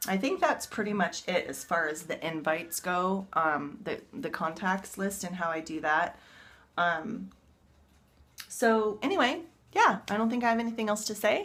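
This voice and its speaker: Lively intonation from a woman at a medium pitch. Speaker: fitness coach. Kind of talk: casual vlog tutorial. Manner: fast.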